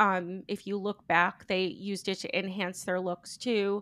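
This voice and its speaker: A woman talks at a fairly slow pace, her pitch medium. It is an ordinary speaking voice. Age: 40s. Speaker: podcast guest. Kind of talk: casual chat.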